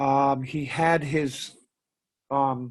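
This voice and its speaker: A man is speaking. The background is quiet. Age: 60s. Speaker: wedding DJ and seminar speaker. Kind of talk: storytelling in online Q&A.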